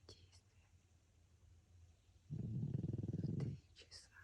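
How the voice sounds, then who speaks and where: Whispering in a gentle tone, a woman talks at a very slow pace with long, frequent pauses. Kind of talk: ASMR sleep whisper. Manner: whispered; soft, gentle.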